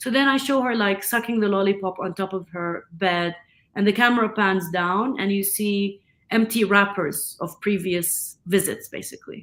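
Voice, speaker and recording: A woman's medium-pitched voice in an Arabic accent, at a moderate pace with ordinary pitch variation. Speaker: film director. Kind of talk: interview conversation.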